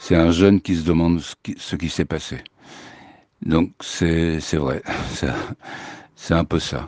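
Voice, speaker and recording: Speech comes at a very slow pace with fairly even intonation, in a dry, close sound with no echo against a quiet background. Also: man. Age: 70s. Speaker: musician. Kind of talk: testimony. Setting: remote recording. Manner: halting.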